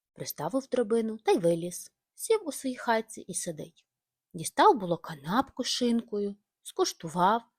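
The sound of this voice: Lively intonation in an unforced reading voice, set against a quiet background.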